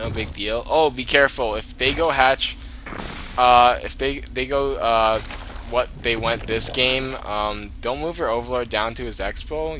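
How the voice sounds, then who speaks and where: Noticeable background noise and audible room echo fill this recording. A man speaks in an animated tone. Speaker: gaming commentator. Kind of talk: game commentary. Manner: fast; casual, animated.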